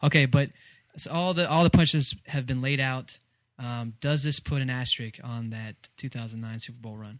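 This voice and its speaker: A man with a plain, everyday voice and an American accent talks at a moderate pace and medium pitch, with ordinary pitch variation and big swings in loudness, on a very clean recording with a silent background. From Texas. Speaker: sports podcast host. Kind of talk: casual chat.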